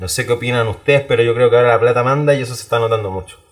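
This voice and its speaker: With a Chilean accent, a man talks at a very fast pace. Noticeable background noise runs under his speech. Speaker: podcast co-host. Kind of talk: casual chat. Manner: loud.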